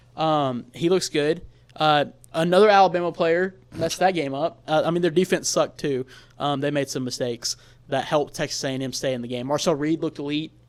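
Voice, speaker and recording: The recording is very clean with a silent background. A man talks at a fairly quick pace in a fairly high pitch, with ordinary pitch variation. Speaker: college football podcast host. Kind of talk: casual chat. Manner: fast; animated.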